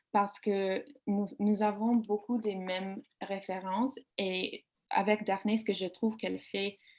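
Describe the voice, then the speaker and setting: A woman with an English accent speaks very slowly at a medium pitch, her intonation fairly even. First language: English (speaking French). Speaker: author. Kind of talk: panel discussion. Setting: online video event. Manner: halting, searching for words.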